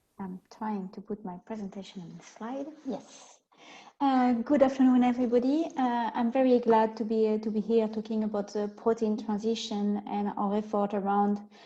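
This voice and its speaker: In a French accent, a woman with a fairly high pitch and a dark, mellow tone sounds somewhat breathy, keeping fairly even intonation amid big swings in loudness. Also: moderate pace. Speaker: protein scientist. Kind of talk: webinar presentation.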